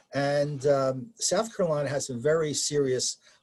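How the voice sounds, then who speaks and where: The man's tone is dark and mellow, somewhat breathy. He talks at a moderate pace. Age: 70s. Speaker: amateur winemaker. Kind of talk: interview. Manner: halting, frequent repetitions and fillers.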